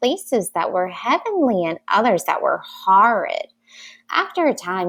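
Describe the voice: Someone reads a text out loud plainly. Little else can be heard behind the voice.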